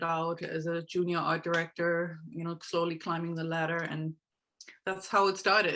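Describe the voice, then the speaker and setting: A woman with a German accent, a fairly low pitch, a bright, sharp tone and a fairly quick pace against a quiet background. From Germany. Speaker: horse trainer and life coach. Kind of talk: interview.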